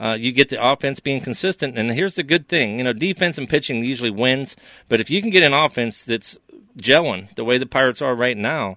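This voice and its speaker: Speaking fairly quickly with an American accent, a man uses an ordinary speaking voice at a medium pitch, his pitch varying in an ordinary way. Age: 50s. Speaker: sports podcast co-host. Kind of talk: casual sports talk.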